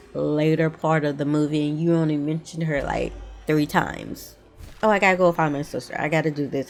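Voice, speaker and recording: A woman speaks in an animated tone. Music plays in the background. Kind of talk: casual movie rant to camera. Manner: animated, ranting.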